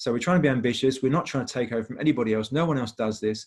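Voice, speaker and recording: A man with a British accent speaks at a very fast pace. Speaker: industry charity representative. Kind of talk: webinar presentation.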